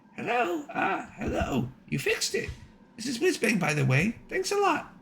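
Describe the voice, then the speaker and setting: A put-on character voice from a man, extremely high in pitch, at a moderate pace. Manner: cheery, grateful.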